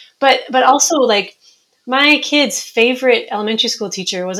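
A woman with an American accent, a plain, everyday voice, ordinary pitch variation and a fairly quick pace. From Minnesota. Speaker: author. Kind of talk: interview.

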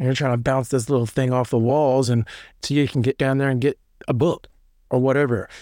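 A man at medium pitch rattles along at a very fast pace in a Tennessee accent, with fairly even intonation and very even loudness. The recording is very clean, with a silent background. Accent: Southern US (Tennessee). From US South (Middle Tennessee). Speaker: former prisoner telling his story. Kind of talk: personal storytelling interview.

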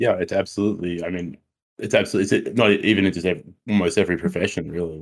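At a very fast pace, a man with an Australian accent speaks at a fairly low pitch with fairly even intonation. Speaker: co-host, academic researcher. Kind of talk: casual chat. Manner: repeats words, halting.

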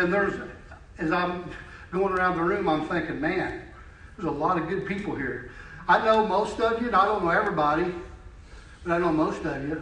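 High male voice at a fairly quick pace with long, frequent pauses and fairly even intonation, amid noticeable background noise and audible room echo. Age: 50s. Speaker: lay preacher. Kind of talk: sermon. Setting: church.

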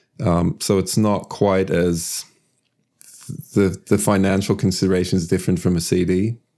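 A man speaks with a very deep, low pitch and a dark, mellow tone. His delivery is monotone and flat, at a moderate pace with very even loudness. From Sweden. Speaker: musician. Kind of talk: interview.

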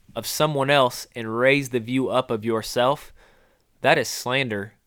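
On a very clean recording with a silent background, a man at medium pitch speaks at a moderate pace in an unremarkable speaking voice. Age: 30s. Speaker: podcast host and wildlife biologist. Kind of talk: casual faith-based chat.

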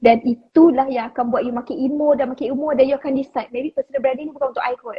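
Very fast and flat, a woman talks in a high pitch with monotone intonation. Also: hardly any pauses. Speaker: online educator for Instagram branding. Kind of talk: casual live-stream chat.

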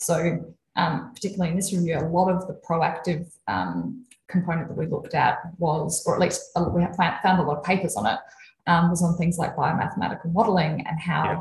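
With an Australian accent and vocal fry, a woman talks at a fairly quick pace and a fairly low pitch with ordinary pitch variation. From South Australia, Adelaide. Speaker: sleep and fatigue researcher. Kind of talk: casual interview about research.

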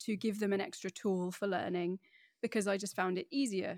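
A woman with a medium pitch is recorded with a dry, close sound and no echo, very clean against a silent background. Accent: British. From northeast England, Middlesbrough. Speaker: wine educator. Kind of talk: interview. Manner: animated, laughs often.

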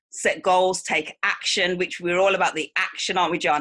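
The voice has a bright, sharp tone and a Mancunian accent. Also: woman. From Manchester, England. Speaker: life coach. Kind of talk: interview.

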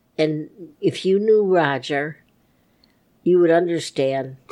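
A woman's plain, everyday voice, fairly low in pitch, against a quiet background. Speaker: grandmother. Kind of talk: casual interview.

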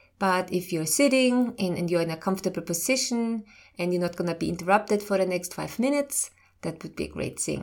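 Recorded very cleanly with a silent background, a woman of medium pitch and ordinary pitch variation speaks in a normal speaking voice. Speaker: medical intuitive and doctor podcast host. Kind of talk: educational talk with guided meditation segment. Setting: studio podcast. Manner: slow, calm, soothing guided-meditation pacing; informative, warm.

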